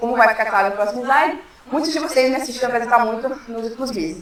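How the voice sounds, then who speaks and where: Noticeable background noise and audible room echo surround a woman speaking at a very fast pace. Her pitch is fairly high. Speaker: philosophy researcher. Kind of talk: academic talk. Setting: workshop with audience. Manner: casual, joking.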